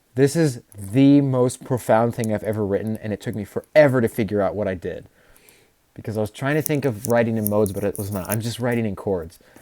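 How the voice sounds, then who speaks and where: A man speaks at a fairly quick pace in a medium pitch with ordinary variation. His tone is dark and mellow. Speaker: composer and music student streamer. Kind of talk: livestream explanation of own composition. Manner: fast; halting, self-correcting.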